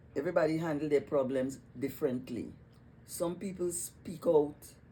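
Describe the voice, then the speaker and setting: A woman with a Trinidadian accent and very deep, low pitch, at a moderate pace with lively intonation, amid audible room echo. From Trinidad and Tobago (Tobago). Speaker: retired psychiatric nurse. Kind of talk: casual interview chat. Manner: halting, repetitive starts.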